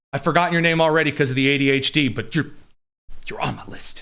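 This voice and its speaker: The man's voice sits fairly high in pitch, with a bright, sharp tone and ordinary pitch variation. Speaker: political talk show host. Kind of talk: live news commentary with viewer questions. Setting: live studio stream. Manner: blunt, in-your-face.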